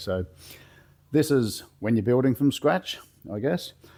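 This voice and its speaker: Speaking with an Australian accent, a man keeps to a moderate pace. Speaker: car builder, workshop video maker. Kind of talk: tutorial. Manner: casual, with fillers.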